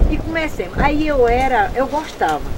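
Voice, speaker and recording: Against noticeable background noise, a woman with a high-pitched voice talks at a moderate pace. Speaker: rural storyteller. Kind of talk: interview answer, storytelling. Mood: lively, amused reminiscing. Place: open country.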